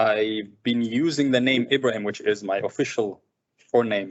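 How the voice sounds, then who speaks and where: At a fairly slow pace, a man with an Arabic accent speaks at a medium pitch with fairly even intonation. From Sudan, of Somali parents. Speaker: filmmaker. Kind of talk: seminar conversation. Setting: seminar with live and online audience.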